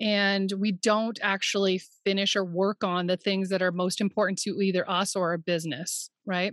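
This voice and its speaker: A woman speaks in an unremarkable speaking voice at a moderate pace and medium pitch. The recording is very clean, with a silent background and a dry, close sound with no echo. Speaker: therapist and business coach. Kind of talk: casual interview chat.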